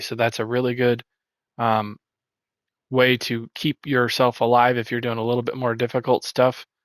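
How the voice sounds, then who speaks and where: On a very clean recording with a silent background, a man speaks at a fairly quick pace in a medium pitch, the sound dry and close with no echo. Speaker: gaming guide creator. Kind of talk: tutorial. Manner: halting, many fillers.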